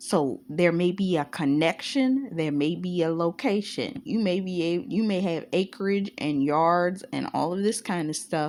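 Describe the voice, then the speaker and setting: Moderately paced, medium-pitched speech from a woman, recorded very cleanly against a silent background. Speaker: spiritual teacher. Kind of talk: informal spiritual talk. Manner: loud.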